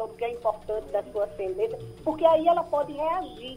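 At a moderate pace, the woman talks in a high voice. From Brazil. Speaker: psychologist and psychoanalyst. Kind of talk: radio interview. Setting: radio broadcast. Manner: halting, many fillers.

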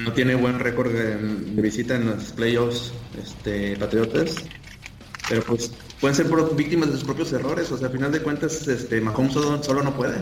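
A man talks at a medium pitch. Audible room echo and noticeable background noise come through. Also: ordinary pitch variation, moderate pace. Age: 30s. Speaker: NFL podcast panelist. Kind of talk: casual chat.

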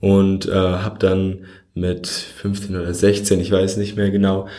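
A man speaks with a very deep, low pitch and a dark, mellow tone. Audible room echo surrounds his voice. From Germany, Frankfurt. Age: 20s. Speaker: podcast host. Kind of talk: solo podcast monologue. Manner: casual, with frequent fillers.

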